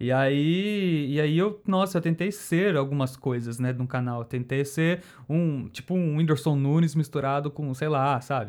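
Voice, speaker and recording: On a very clean recording with a silent background, a man speaks at a fairly slow pace with hardly any pauses. His pitch is fairly high and varies in an ordinary way. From Campinas, interior of São Paulo state, Brazil. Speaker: YouTuber and graphic designer. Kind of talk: casual chat.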